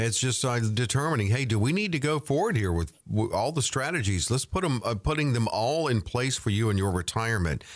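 In a plain, everyday voice, a man talks at a fairly quick pace and medium pitch with lively intonation, hardly any pauses and very even loudness, in a very clean recording with a silent background. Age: 60s. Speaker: radio co-host. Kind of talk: radio interview. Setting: studio.

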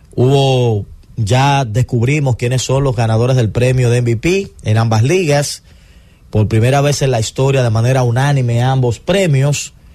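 At a fairly slow pace, a man with a dark, mellow, somewhat breathy tone speaks in a medium pitch with ordinary pitch variation and very even loudness. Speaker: sports radio host. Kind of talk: sports talk radio. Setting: studio.

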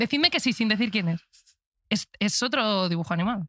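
The sound is dry and close with no echo as a woman talks at a fairly high pitch. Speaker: podcast host. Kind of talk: casual chat. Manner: animated.

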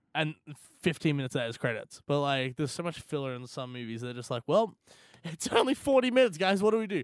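A man talks at a very fast pace with fairly high pitch and very wide pitch swings, in a dry, close sound with no echo. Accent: Australian. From Australia. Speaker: gaming podcast co-host. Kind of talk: casual chat.

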